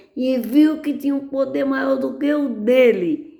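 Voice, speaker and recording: A woman's dark, mellow voice with lively intonation, set against audible room echo. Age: 80s+. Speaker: lay preacher. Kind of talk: sermon.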